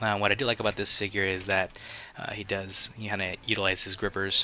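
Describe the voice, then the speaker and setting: Music plays in the background as a man speaks. His fairly low voice holds a monotone, flat intonation. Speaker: toy reviewer. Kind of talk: casual talk to camera. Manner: hesitant, many fillers.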